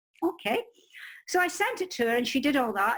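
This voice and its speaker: This voice has a Scottish accent. The speech comes at a very fast pace. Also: woman. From Scotland. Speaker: crime novelist and publishing expert. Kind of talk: interview, personal story. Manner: animated.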